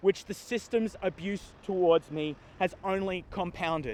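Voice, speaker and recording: A man speaks at a moderate pace with an Australian accent. His voice is high for a man, and the sound is dry and close with no echo. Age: 40s. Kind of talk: prepared speech.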